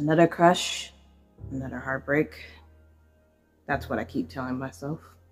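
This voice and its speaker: Music in the background under a woman's very deep, low voice, at a moderate pace with ordinary pitch variation, big swings in loudness and long, frequent pauses. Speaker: poet in cosplay. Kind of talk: poetry reading. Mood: romantic, wistful. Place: home room. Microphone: phone near.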